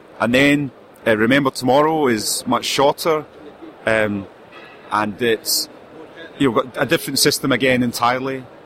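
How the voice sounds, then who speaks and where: A man speaks with fairly even intonation and long, frequent pauses. Noticeable background noise runs underneath. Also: very even loudness. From UK. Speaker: indie game publisher. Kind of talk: casual interview. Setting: convention booth.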